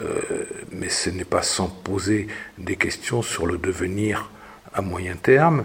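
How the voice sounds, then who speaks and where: Over noticeable background noise, a man with a very deep, low pitch and ordinary pitch variation speaks at a fairly slow pace. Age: 70s. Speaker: former local councillor. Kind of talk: interview testimony. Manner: halting, many hesitations and repetitions.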